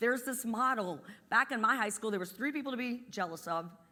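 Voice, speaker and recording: A woman with an Appalachian accent, bright and sharp in tone, at a fairly quick pace. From West Virginia, US. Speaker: energy company executive. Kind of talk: motivational talk.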